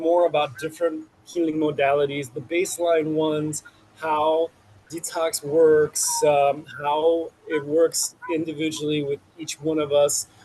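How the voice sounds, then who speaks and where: A man with a fairly high pitch and a Chicago accent, at a very slow pace, over noticeable background noise. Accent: Chicago American English. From US Midwest, Chicago. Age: 40s. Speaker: detox practitioner. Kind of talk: interview. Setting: outdoors on a rooftop garden.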